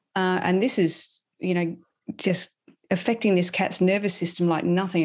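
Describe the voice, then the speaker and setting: This woman speaks in a fairly low pitch with an Australian accent. Her pitch varies in an ordinary way. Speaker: animal communicator and holistic animal health coach. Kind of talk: casual interview. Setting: remote call from abroad.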